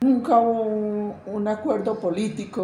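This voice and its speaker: A woman talks at a fairly slow pace, and room echo can be heard. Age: 80s+. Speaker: witness of armed conflict. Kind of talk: testimony. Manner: halting.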